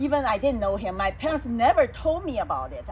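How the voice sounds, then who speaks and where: A woman speaks at a moderate pace with a Chinese accent. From China. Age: 60s. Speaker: salon host and speaker. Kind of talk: personal testimony in a casual talk.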